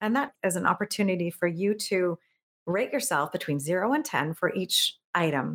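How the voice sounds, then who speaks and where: A woman talks in an ordinary speaking voice at medium pitch and a moderate pace. Her loudness stays very even while her intonation is lively. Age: 50s. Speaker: productivity coach and keynote speaker. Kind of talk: interview conversation.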